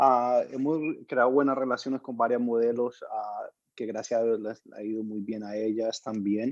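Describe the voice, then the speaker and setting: The man's medium-pitched speech moves at a moderate pace in a monotone, flat intonation. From Colombia, Medellín. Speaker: music video producer. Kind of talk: interview.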